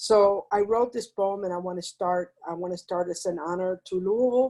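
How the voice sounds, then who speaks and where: Her tone dark and mellow, a woman with a medium pitch talks at a moderate pace with ordinary pitch variation. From Cuba. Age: 60s. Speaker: poet. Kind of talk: poetry reading. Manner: halting, many fillers.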